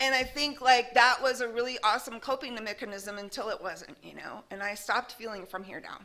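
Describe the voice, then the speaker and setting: With an American accent, a woman talks at a fairly quick pace in a raised, projected voice, her tone bright and sharp and her intonation lively. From Arizona. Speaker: speaker at a recovery meeting. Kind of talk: recovery testimony. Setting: meeting with live audience, recorded. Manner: loud; casual, lots of fillers.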